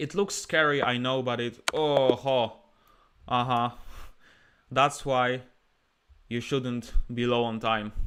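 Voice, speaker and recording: A man speaks at a medium pitch with a Polish accent, very slowly, with long and frequent pauses. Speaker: chess streamer and player. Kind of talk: live chess commentary. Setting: live stream with chat. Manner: animated.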